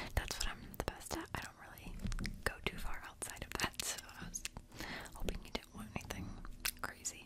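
Whispering at a moderate pace, a woman leaves long, frequent pauses. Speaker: makeup artist roleplay. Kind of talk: ASMR personal attention roleplay. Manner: whispered, soft. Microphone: studio mic.

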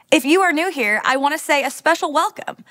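Against a quiet background, a woman speaks in a raised, projected voice with lively intonation. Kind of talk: church welcome announcement. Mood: warm and welcoming. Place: studio.

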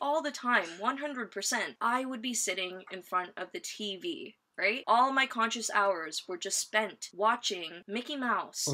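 A woman's bright, sharp voice with an American accent, fairly high-pitched and fairly slow, with lively intonation. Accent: American-sounding, picked up from TV. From London, England. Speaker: podcast co-host. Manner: chatty, playful.

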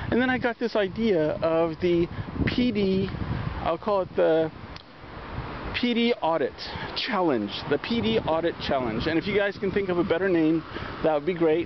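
The speaker goes at a moderate pace with long, frequent pauses. The sound is dry with no echo, but noticeable background noise comes through. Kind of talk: casual vlog chat. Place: street. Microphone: phone near.

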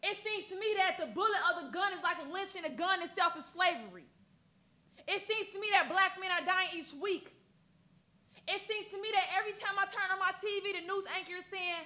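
A woman's raised, projected voice, bright and sharp in tone, with fairly even intonation at a fairly quick pace. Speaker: spoken word poet. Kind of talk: poetry performance. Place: studio.

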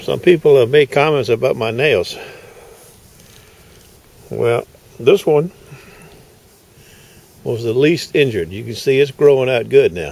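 A man's voice with long, frequent pauses, big swings in loudness, and dry sound with no echo. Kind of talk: casual vlog chat. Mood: relaxed, upbeat. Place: street. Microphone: phone near.

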